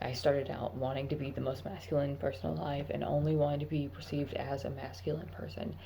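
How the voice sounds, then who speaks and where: In a room with audible echo and noticeable background noise, a woman with a very deep, low pitch speaks very fast and with lively intonation, hardly pausing at all. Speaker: vlogger, army recruit. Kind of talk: casual vlog monologue. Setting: at work.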